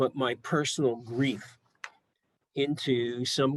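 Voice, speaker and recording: A man talks very slowly at a medium pitch, keeping his intonation fairly even. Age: 80s+. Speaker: psychologist and research director presenting a training. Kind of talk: lecture. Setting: video call. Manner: halting, with frequent fillers.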